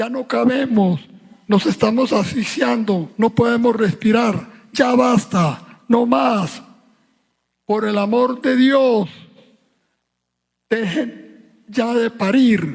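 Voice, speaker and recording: Speaking in a Medellín accent at an extremely high pitch, this man talks at a very slow pace with ordinary pitch variation and long, frequent pauses. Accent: Colombian, Antioquia (Medellín). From Colombia. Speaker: writer. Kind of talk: satirical monologue at book fair.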